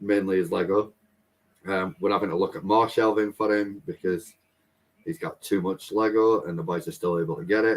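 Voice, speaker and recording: A man speaks fairly quickly in an ordinary speaking voice. His pitch is fairly low, with ordinary variation. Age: 30s. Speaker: family vlogger. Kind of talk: casual chat.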